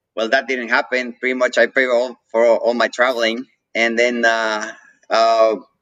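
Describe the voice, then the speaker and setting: A man with a Mexican accent talks at a moderate pace and medium pitch. His tone is bright and sharp, and his intonation is monotone and flat. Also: dry, close sound with no echo. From Mexico. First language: Spanish. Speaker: coffee roaster and business owner. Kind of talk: interview. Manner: hesitant, many fillers.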